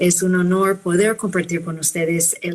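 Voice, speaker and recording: With a non-native accent, a woman speaks at a fairly slow pace and a fairly low pitch in a monotone, flat intonation. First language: not Spanish (speaking Spanish). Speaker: physician and professor. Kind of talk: conference talk. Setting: video call webinar.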